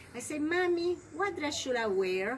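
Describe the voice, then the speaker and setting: Someone with a Spanish accent speaks at a moderate pace, the pitch swinging very widely. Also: woman. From Puerto Rico. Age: 70s. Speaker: grandmother telling her life story. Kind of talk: life story interview.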